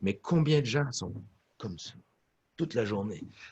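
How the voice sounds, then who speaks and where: A man with very wide pitch swings and a somewhat breathy voice at a moderate pace, in a dry, close sound with no echo. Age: 60s. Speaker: orchestra conductor and music professor. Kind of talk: interview.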